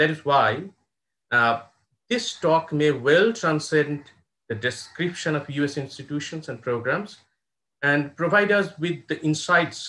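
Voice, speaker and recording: This man speaks with a fairly high pitch and a bright, sharp tone. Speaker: professor and moderator. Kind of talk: formal introduction. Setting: video call. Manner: formal. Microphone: earbuds.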